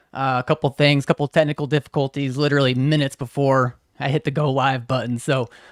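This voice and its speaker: Talking at a very fast pace with hardly any pauses, a man speaks in a fairly high, monotone, flat voice on a very clean recording with a silent background and a dry, close sound with no echo. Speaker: podcast host. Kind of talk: casual interview chat. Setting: livestream.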